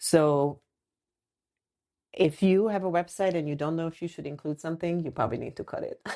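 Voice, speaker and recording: A woman's dark, mellow voice, fairly low for a woman, with a non-native accent, a fairly quick pace, long and frequent pauses, big swings in loudness, and a quiet background. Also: ordinary pitch variation. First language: not English. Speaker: podcast co-host, designer and brand strategist. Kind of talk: casual chat.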